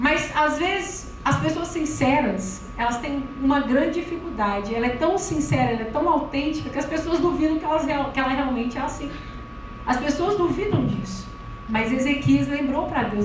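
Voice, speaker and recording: Loud and animated, a woman with a high voice speaks with lively intonation amid noticeable background noise and audible room echo. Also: moderate pace. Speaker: preacher. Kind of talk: sermon.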